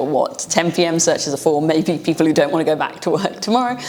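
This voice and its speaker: A woman speaks at a fairly quick pace with a British accent and a fairly low pitch. Background noise is noticeable. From UK. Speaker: data science educator. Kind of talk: tutorial; casual storytelling.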